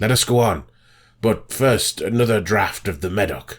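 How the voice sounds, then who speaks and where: A man speaks in a put-on character voice that is raspy and fairly low in pitch. His pace is moderate. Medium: read story.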